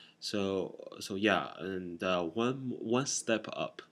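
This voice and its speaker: His voice sits very deep and low, with ordinary pitch variation. The man speaks with a non-native accent. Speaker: boot collector vlogger. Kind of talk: casual explainer vlog. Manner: halting, many fillers.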